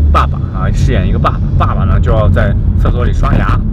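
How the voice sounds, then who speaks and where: A man talks at a fairly quick pace. Loud music plays in the background. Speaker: vlogger. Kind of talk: casual vlog chat. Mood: slightly hurried. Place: car. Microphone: camera far.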